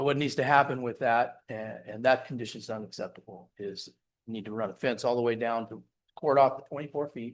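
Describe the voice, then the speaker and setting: A man with a plain, everyday voice at medium pitch, fairly quick pace, fairly even intonation and big swings in loudness, against a quiet background. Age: 60s. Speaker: developer representative answering council and residents. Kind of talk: public meeting Q&A. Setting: city council chambers.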